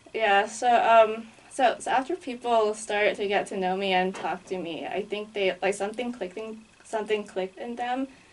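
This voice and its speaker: A fairly high female voice with an American accent, moderate pace and ordinary pitch variation. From Asia, various countries. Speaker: travel writer. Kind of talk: interview. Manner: casual, many fillers.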